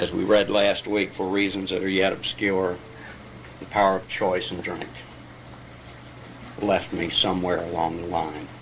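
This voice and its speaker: A man with a very deep, low voice speaks at a moderate pace in a monotone, flat intonation, leaving long, frequent pauses, with audible room echo and noticeable background noise. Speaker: AA step study speaker, recovering alcoholic. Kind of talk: lecture.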